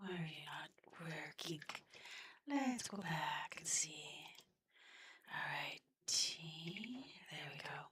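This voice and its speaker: The speaker is soft-spoken. The pace is very slow. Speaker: gaming streamer. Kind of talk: gameplay commentary.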